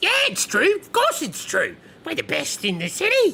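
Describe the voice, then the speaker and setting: A put-on character voice, squeaky and extremely high-pitched, moves at a moderate pace. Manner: bragging, boastful.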